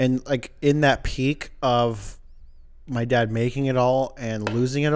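A man uses a normal speaking voice at a medium pitch, keeping his intonation fairly even. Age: 30s. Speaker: podcast co-host. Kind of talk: casual chat.

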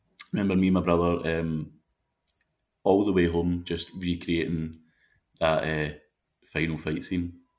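Very deep and low in pitch, a man with a Glaswegian accent speaks at a moderate pace. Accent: Glaswegian Scottish. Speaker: actor. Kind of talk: casual chat.

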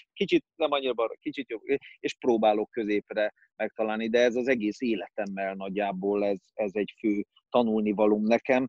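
A man talks in a normal speaking voice at a moderate pace, his pitch fairly low. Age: 40s. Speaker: actor. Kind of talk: casual chat.

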